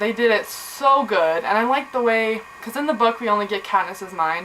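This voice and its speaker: Over noticeable background noise, a woman speaks at a moderate pace. Her pitch is fairly high and her intonation lively. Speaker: book vlogger. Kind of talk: casual vlog monologue.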